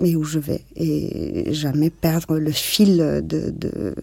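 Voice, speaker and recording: Here is a woman with a very deep, low pitch. Her tone comes across dark and mellow. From Barcelona, Spain. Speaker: interviewee sharing life story. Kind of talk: personal testimony interview. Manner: halting, many fillers and repetitions.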